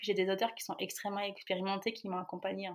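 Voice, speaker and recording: A woman's medium-pitched voice is heard in a very clean recording with a silent background. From France. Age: 30s. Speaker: author and project founder. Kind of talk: interview. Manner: halting.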